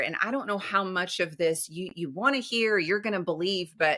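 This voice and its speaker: A woman with a Southern US accent and an animated, bright, sharp tone, medium in pitch with ordinary pitch variation, at a moderate pace. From US South. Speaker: empowerment coach. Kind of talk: podcast interview.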